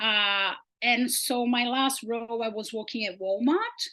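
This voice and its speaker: A woman with a Portuguese accent talks at a fairly high pitch. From Brazil. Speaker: sustainability researcher. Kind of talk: research presentation.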